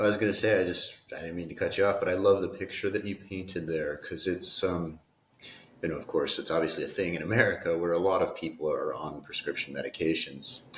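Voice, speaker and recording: Speech races by at a very fast pace over noticeable background noise. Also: man. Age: 30s. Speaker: podcast host. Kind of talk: podcast interview.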